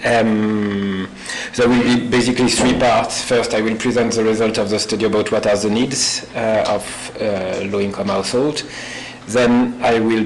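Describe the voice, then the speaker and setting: With a French accent, a man with a fairly low pitch speaks in a flat monotone at a moderate pace, with audible room echo and noticeable background noise. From France. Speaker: visiting postdoctoral researcher. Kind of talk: academic seminar presentation.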